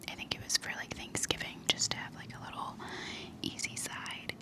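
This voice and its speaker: A woman whispers at a moderate pace as noticeable background noise carries on around her. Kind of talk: ASMR vlog, casual talk to camera. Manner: soft-spoken, whispering.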